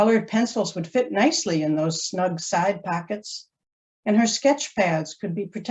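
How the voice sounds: Against a quiet background, the voice reads in a natural way.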